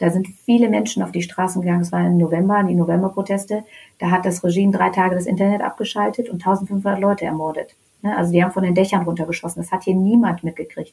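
At a very fast pace, a woman speaks at medium pitch, somewhat breathy, with a dark, mellow tone. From Germany (Hannover area), born in Tehran. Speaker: Iranian-German activist. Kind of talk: casual interview. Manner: animated, hesitant fillers.

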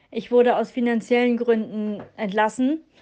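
This is a woman with a high-pitched voice. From northern Germany. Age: 30s. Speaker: listener sending a voice message. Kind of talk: storytelling voice message. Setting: recorded voice message.

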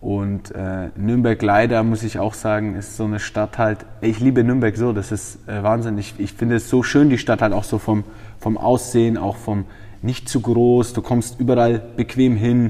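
A man's monotone, flat delivery at a moderate pace and medium pitch. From Franconia, Germany (Feucht near Nuremberg). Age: 20s. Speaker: MMA fighter and trainer. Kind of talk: interview. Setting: gym.

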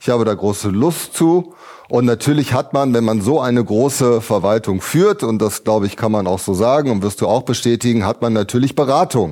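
Dark and mellow in tone, a man at medium pitch speaks at a moderate pace with lively intonation and very even loudness. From Ratingen, Rhineland. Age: 50s. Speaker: state legislator, mayoral candidate. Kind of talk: panel debate.

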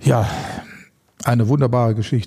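Dark and mellow in tone, a man's somewhat breathy voice moves with ordinary pitch variation. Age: 50s. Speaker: animal welfare activist and former pro fighter. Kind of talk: casual interview.

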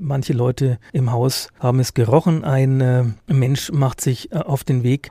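A man's somewhat breathy, medium-pitched voice with a dark, mellow tone, very slow pace, and dry, close sound without echo. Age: 50s. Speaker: police reporter. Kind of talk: casual chat. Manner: hesitant, many fillers.

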